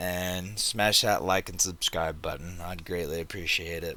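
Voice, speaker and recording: A man speaks at a fairly slow pace. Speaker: gaming youtuber. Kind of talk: gameplay commentary. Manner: casual, conversational.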